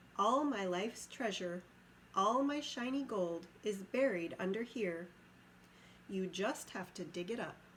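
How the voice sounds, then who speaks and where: A woman puts on a squeaky character voice at medium pitch and a fairly slow pace, with clear background noise behind her. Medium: read story. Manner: sly, wheedling.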